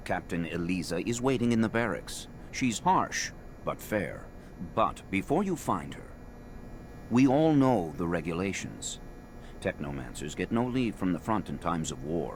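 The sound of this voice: Putting on a character voice, a man speaks low in pitch at a fairly slow pace with big pitch swings.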